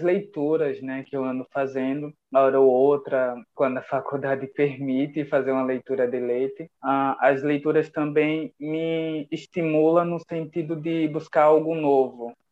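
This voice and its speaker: In an unremarkable speaking voice, someone talks at a fairly slow pace with hardly any pauses and fairly even intonation. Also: man, fairly high pitch for a man. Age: 20s. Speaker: blind poet and writer. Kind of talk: interview.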